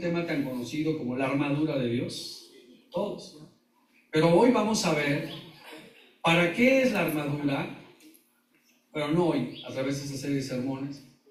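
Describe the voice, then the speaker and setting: A man speaks at a moderate pace with lively intonation and big swings in loudness. Long, frequent pauses occur, and the room's echo is audible. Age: 60s. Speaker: pastor. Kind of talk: sermon. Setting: church.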